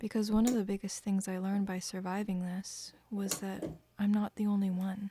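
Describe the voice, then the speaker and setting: A woman's somewhat breathy voice has a dark, mellow tone, medium pitch and monotone, flat intonation. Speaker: musician; chronic illness survivor. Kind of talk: personal talk to camera.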